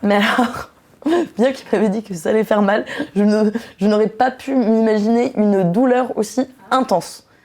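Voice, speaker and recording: A woman's fairly high voice at a moderate pace, fairly even in intonation, broken by long, frequent pauses. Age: 20s. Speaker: young woman sharing abortion experience. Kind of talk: personal testimony. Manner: hesitant, many fillers.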